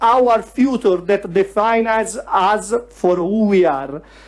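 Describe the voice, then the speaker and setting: A man talks at a fairly slow pace. His pitch moves in an ordinary way. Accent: Italian. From Italy, Tuscany (Pistoia). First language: Italian. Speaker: youth federalist activist. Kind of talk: prepared speech. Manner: reading aloud.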